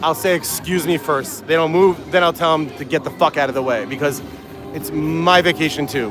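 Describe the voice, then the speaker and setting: A man talks at a fairly high pitch with lively intonation and a fairly quick pace. Music plays in the background. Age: 40s. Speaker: YouTuber on vacation vlogging. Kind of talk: casual walk-and-talk vlog. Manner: hesitant, repetitive filler.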